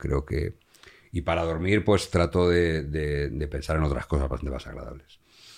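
At a moderate pace, a man talks with very deep, low pitch, vocal fry and fairly even intonation. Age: 50s. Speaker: crime journalist. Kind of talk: interview conversation. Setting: home studio. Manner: repeats words, hesitant restarts.

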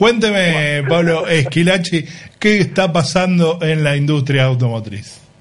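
Fairly high-pitched male voice at a fairly slow pace, with very even loudness and ordinary pitch variation, plus noticeable background noise and audible room echo. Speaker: radio host. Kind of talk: casual chat.

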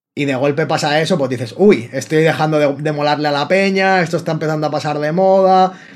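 With a plain, everyday voice, a man of fairly high pitch talks at a fairly quick pace with hardly any pauses and fairly even intonation. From Spain, Barcelona. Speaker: rapper and freestyler. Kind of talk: casual chat.

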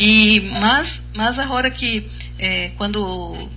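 A woman speaks with a Brazilian accent. Noticeable background noise and audible room echo surround her voice. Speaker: radio host. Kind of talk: casual chat.

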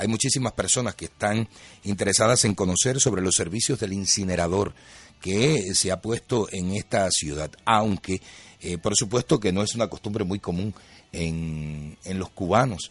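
A man with an ordinary speaking voice, fairly low in pitch, with ordinary pitch variation at a moderate pace. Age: 50s. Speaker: radio host. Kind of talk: radio interview.

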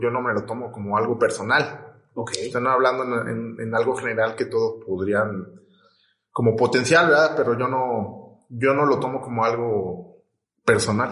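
A man has an unremarkable speaking voice. His medium pitch shows ordinary pitch variation. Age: 30s. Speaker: psychologist. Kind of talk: casual chat.

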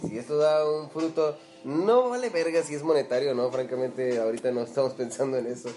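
A man talks at a fairly quick pace with a fairly high pitch. Music plays in the background. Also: ordinary pitch variation. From Mexico, Tijuana. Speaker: podcast co-host. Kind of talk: casual chat. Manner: laughing often.

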